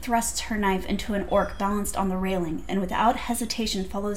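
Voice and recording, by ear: This is someone reading aloud in a natural voice, with fairly even intonation.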